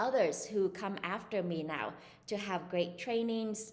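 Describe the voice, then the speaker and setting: Recorded with audible room echo, a woman speaks at a medium pitch with a Vietnamese accent and ordinary pitch variation. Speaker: psychologist. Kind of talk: interview. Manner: hesitant, many fillers.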